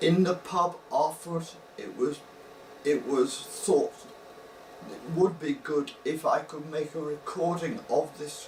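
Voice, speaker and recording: With noise clearly present behind him, a man talks in a high register, his pitch varying in a normal way. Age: 60s. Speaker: brain injury survivor, semi-retired academic scientist. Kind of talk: personal talk to camera with slides. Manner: slow and soft-spoken; halting, pauses to think before speaking.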